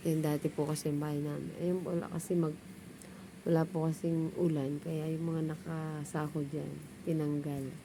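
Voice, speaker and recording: Quietly and at a fairly slow pace, a woman with a very deep, low voice speaks in a flat monotone amid audible room echo. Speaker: vlogger. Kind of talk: casual vlog talk. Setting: outdoors at home, just woke up. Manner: quiet, low voice.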